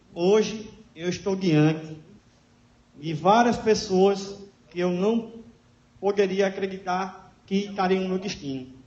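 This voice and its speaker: Speaking very slowly with long, frequent pauses, a man uses a high pitch and fairly even intonation. The recording has audible room echo and noticeable background noise. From Natal, Rio Grande do Norte, Brazil. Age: 30s. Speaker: public speaker sharing life story. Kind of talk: talk to an audience.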